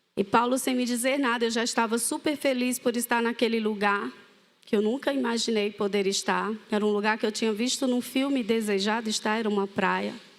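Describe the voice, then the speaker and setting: A woman with a Cearense accent, fairly high in pitch, at a fairly quick pace and very even loudness. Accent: Cearense (northeastern Brazilian). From Fortaleza, Ceará, northeastern Brazil. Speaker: ministry leader sharing testimony. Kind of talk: testimony. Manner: animated storytelling.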